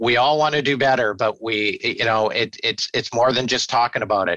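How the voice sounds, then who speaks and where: In a Canadian accent, the speaker races along at a very fast pace with hardly any pauses, a bright, sharp tone, ordinary pitch variation, and a dry, close sound with no echo. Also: man. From Victoria, British Columbia, Canada. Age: 50s. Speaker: business owner and CEO. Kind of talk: interview.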